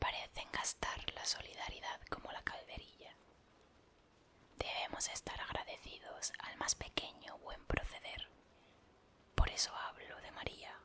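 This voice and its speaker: Whispering in a calm tone, with long, frequent pauses and noticeable background noise. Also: fairly slow pace. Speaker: ASMR reader / content creator. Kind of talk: whispered audiobook-style reading of a literary text (ASMR). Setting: rain sounds in a car as background. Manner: whispered, calm, soft.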